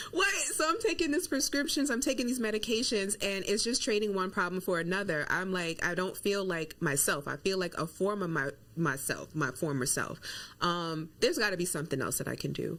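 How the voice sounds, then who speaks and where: A woman speaks at a fairly quick pace and a medium pitch. Her pitch swings very widely. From New York. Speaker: nurse and wellness coach. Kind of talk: interview.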